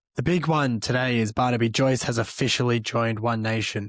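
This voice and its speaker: At a moderate pace and medium pitch, a man with an Australian accent is heard in a dry, close sound with no echo on a very clean recording over a silent background. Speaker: political commentary podcast host. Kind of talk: news commentary monologue.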